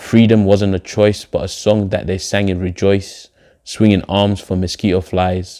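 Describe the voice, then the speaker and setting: A man's fairly low, dark, mellow voice with a British accent, flat monotone intonation and a fairly slow pace, on a very clean recording with a silent background. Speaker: poet, spoken-word artist. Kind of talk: spoken-word poetry performance.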